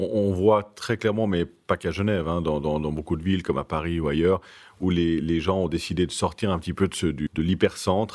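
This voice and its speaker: A man talks at a very deep, low pitch with fairly even intonation. The recording is very clean, with a silent background. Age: 30s. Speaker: luxury real estate broker. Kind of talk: interview.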